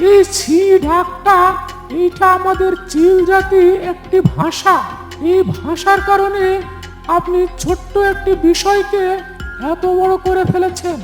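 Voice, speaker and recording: A cartoonish character voice moves at a fairly slow pace while music plays clearly in the background. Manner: respectful, reasoned.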